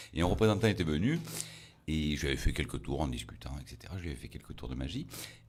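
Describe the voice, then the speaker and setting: Using vocal fry and lively intonation, a man with a very deep, low pitch races at a very fast pace, with big swings in loudness. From Provence, Toulon area. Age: 60s. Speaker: magician. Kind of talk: interview.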